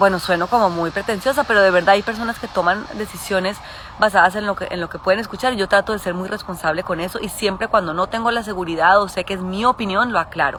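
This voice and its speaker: A woman speaks at a very fast pace with hardly any pauses. Her medium-pitched voice has fairly even intonation over noticeable background noise. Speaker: podcast host and adoptive mother. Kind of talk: casual live stream chat. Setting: outdoors in garden, Instagram live.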